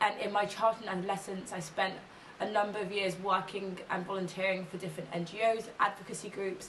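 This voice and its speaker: With an English accent, a woman talks fairly quickly in a flat monotone, with noticeable background noise and audible room echo. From England, Kent. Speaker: policy consultant and ethnographic researcher. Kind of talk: interview testimony.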